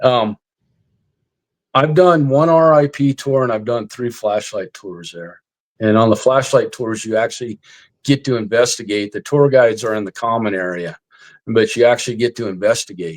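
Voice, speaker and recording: On a very clean recording with a silent background and a dry, close sound with no echo, a man with an unremarkable speaking voice talks at a moderate pace, at medium pitch with ordinary pitch variation and big swings in loudness. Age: 60s. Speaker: army veteran and retired police officer, paranormal investigator. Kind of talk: casual interview chat. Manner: casual, filler-heavy.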